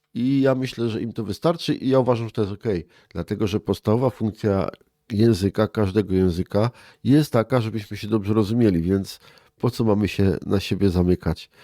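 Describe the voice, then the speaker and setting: A man's fairly low-pitched voice, dark and mellow in tone, with ordinary pitch variation and a dry, close sound with no echo. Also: fairly quick pace. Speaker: head of a regional cultural association. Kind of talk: interview.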